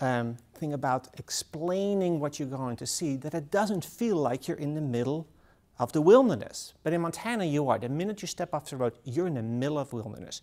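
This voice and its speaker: A man with a Dutch accent speaks at a fairly quick pace, his pitch fairly high. His tone is dark and mellow, and his intonation is lively. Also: very clean recording, silent background. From Netherlands. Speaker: author. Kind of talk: talk to an audience.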